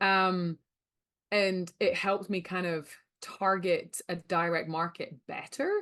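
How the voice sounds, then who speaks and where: Against a quiet background, a woman with a Scottish accent speaks at medium pitch in a flat monotone. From Scotland. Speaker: rancher and sales coach. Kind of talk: webinar presentation.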